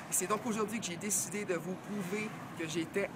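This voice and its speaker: The man's intonation stays fairly even while noticeable background noise carries on behind him. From Quebec, Montreal. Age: 20s. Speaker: game show applicant. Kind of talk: audition video. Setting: outdoors.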